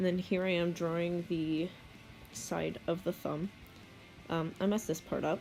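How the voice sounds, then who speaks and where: Music plays behind a woman speaking at a fairly low pitch. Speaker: digital artist. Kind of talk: casual art tutorial narration. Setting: home recording, poor audio quality. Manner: hesitant, casual.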